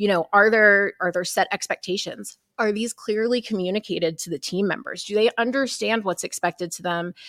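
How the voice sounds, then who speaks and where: Medium in pitch, a woman with an ordinary speaking voice talks fairly quickly with ordinary pitch variation, on a very clean, dry, close recording with a silent background and no echo. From Texas. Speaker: mortgage operations consultant. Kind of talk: interview. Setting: conference.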